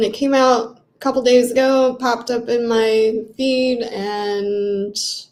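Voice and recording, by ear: A woman's fairly high, slightly mellow voice at a slow pace, fairly even in intonation, with audible room echo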